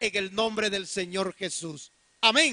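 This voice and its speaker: A raised, projected voice with a bright, sharp tone, fairly slow, dry and close with no echo over a quiet background. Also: man. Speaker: pastor. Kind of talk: sermon.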